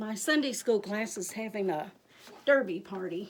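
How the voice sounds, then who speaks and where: A woman speaks with a Kentucky accent at a fairly high pitch. Her pitch swings very widely at a moderate pace. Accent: Kentucky Southern. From Michigan until 15, then Kentucky. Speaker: crafter. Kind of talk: tutorial. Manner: casual, chatty.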